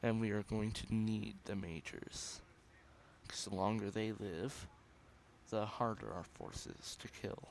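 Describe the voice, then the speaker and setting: Fairly low in pitch and fairly even in intonation, a man speaks at a fairly slow pace with long, frequent pauses. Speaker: gaming youtuber. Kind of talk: gameplay commentary.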